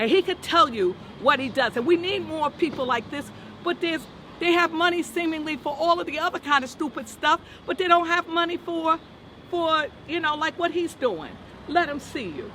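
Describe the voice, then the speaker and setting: Over noticeable background noise, a woman uses a raised, projected voice at an extremely high pitch with ordinary pitch variation. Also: moderate pace. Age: 70s. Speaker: victim's relative, churchgoer. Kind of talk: street interview. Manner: emphatic, preacher-like.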